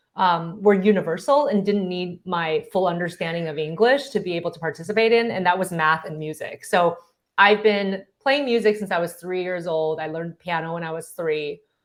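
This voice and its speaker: With an unremarkable speaking voice, a woman talks at a moderate pace and medium pitch, varying her pitch in an ordinary way. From Taiwan, moved to US at nine. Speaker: clinical psychologist, professor and author. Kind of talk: interview.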